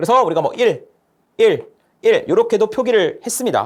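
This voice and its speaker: Extremely high-pitched male voice with lively intonation at a moderate pace. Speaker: lecturer. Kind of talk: lecture.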